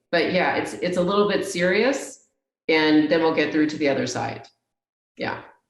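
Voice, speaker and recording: With audible room echo, a woman in an American accent speaks at a fairly low pitch with lively intonation. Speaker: technology executive. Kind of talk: interview conversation. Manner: slower and lower when asserting herself.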